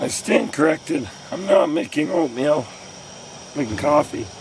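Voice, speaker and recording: A man with a fairly high voice speaks at a moderate pace with normal pitch movement, and there is noticeable background noise. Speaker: outdoor adventure vlogger. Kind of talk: vlog narration. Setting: outdoors, solo wilderness camp.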